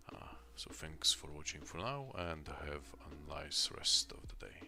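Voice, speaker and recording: Soft-spoken and fairly slow, a man talks with big swings in loudness against noticeable background noise. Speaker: indie game developer streamer. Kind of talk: live stream tutorial commentary. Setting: home studio, late at night. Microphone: echo at start.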